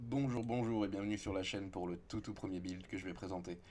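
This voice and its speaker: Fairly quick in pace, this man's voice has a dark, mellow tone, a fairly low pitch and ordinary pitch variation. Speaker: video game content creator. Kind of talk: gameplay tutorial. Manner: casual, with hesitations.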